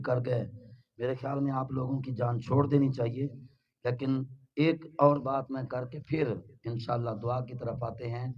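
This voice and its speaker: Here a man talks at a very slow pace in a somewhat breathy voice. His pitch is medium and his intonation fairly even. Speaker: Islamic preacher. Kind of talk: sermon. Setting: religious gathering with audience and loudspeakers.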